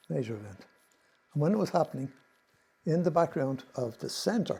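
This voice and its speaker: With an Irish accent, a man's dark, mellow voice shows vocal fry and lively intonation. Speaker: presenter on Irish mythology. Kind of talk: slide presentation talk. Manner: fast.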